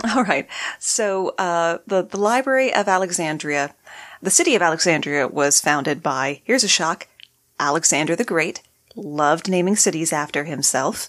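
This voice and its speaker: Against a silent background on a very clean recording, a woman with a fairly low pitch speaks at a moderate pace with lively intonation. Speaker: podcast host and guest. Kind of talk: casual interview chat.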